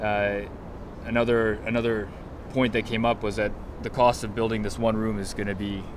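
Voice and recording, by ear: Pitched fairly low, a man talks at a moderate pace with little pitch movement.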